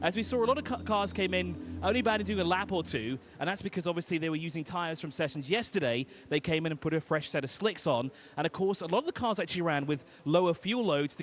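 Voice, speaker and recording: Very fast and lively in intonation, a man talks at a fairly high pitch with vocal fry. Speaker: pit lane reporter. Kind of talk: live interview. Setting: pit lane, live broadcast.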